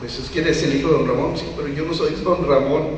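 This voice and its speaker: Noticeable background noise sits under this clip. A man talks, and the room echo is audible. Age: 60s. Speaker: English teacher and former actor. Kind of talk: talk to a live audience.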